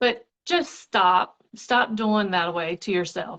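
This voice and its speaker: Against a quiet background, a woman speaks fairly slowly in a shaky voice. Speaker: network marketing seller. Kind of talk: casual live stream chat.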